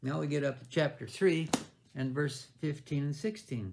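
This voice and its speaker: This man's voice is somewhat breathy. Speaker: bible teacher. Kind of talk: sermon. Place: home room. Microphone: webcam.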